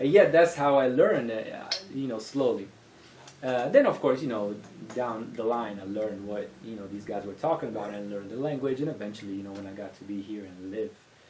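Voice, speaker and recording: Talking at a fairly quick pace with a medium pitch and big swings in loudness, a man is heard with audible room echo and noticeable background noise. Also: ordinary pitch variation. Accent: Italian. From Italy, Venice. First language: Italian. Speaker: music industry entrepreneur. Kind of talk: podcast interview.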